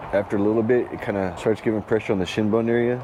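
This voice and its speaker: Noticeable background noise surrounds a man talking at a very fast pace in a fairly low pitch. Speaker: amputee vlogger. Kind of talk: casual vlog talk while gardening. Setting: outdoors. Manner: sometimes fast due to brain injury; unscripted, with hesitations.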